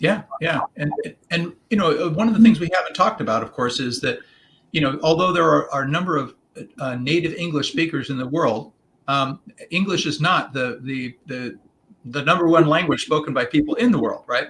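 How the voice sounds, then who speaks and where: At a fairly quick pace, a man speaks with lively intonation. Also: fairly high pitch for a man. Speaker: executive coach. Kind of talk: podcast interview. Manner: fast; halting, many fillers and repetitions.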